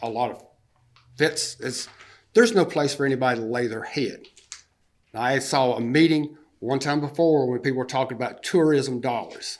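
A man with a Southern US accent speaks with long, frequent pauses. Room echo is audible. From US South, upstate South Carolina. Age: 60s. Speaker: public commenter at a city council meeting. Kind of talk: public comment at a council meeting.

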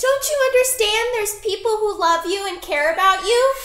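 Shouting in a put-on character voice at an extremely high pitch, at a moderate pace, with slight echo. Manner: yelling, pleading.

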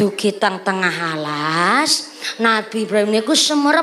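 Listen to a woman speaking. Her pitch swings very widely. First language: Javanese (speaking Indonesian). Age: 20s. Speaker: female preacher. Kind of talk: comedic sermon. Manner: animated. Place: stage. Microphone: handheld.

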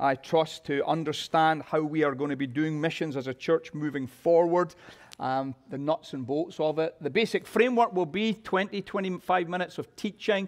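A man talks at a moderate pace with ordinary pitch variation in front of a quiet background. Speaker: pastor. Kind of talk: church announcements. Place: church.

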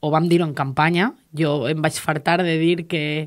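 A woman speaks at a very deep, low pitch with fairly even intonation. Her pace is fairly slow, and the background is quiet. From Valencian Community, Castelló coast (Alcalà de Xivert); Valencian Community. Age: 20s. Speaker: politician. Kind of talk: interview. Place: studio.

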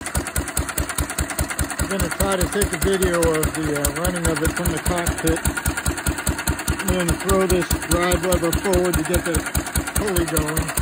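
The speech moves at a fairly slow pace in a dry sound with no echo, with loud background noise behind it. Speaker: hobbyist builder driving tractor. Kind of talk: casual vlog chat. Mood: pleased, relaxed. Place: farm machine. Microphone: phone near.

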